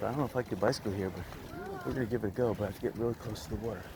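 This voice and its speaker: A man's medium-pitched voice at a very fast pace, with lively intonation over noticeable background noise. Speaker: vlogger. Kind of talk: casual vlog narration. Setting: outdoors on a beach, bicycling.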